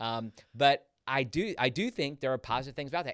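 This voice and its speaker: With an ordinary speaking voice, a man talks at a fairly quick pace with lively intonation, recorded very cleanly over a silent background. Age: 40s. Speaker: podcast host and pastor. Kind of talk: casual chat.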